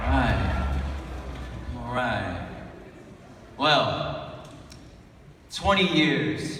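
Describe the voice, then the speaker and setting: Pitch swings very widely as noticeable noise carries on in the background. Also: man. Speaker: spoken word artist. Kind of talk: live spoken word poetry performance. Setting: live conference stage.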